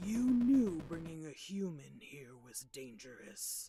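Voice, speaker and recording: A put-on character voice sits at a middle pitch with very wide pitch swings. It moves at a fairly slow pace. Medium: virtual streamer. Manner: blunt, scolding.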